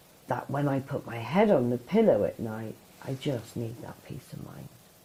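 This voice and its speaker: Over noticeable background noise, a woman with a very deep, low pitch talks at a fairly slow pace. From Italian heritage. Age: 50s. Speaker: support worker in addiction recovery. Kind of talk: podcast interview.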